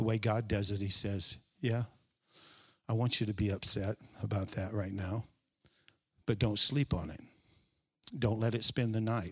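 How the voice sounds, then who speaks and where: A man's fairly low, somewhat breathy voice with long, frequent pauses, on a very clean recording against a silent background. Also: moderate pace. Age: 60s. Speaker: preacher. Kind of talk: sermon. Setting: church stage with congregation. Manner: animated.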